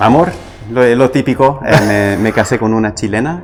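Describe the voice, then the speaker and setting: Over music in the background, a man with an American accent speaks with ordinary pitch variation. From US, Los Angeles, California. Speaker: coffee roaster, business owner. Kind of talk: casual interview. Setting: studio.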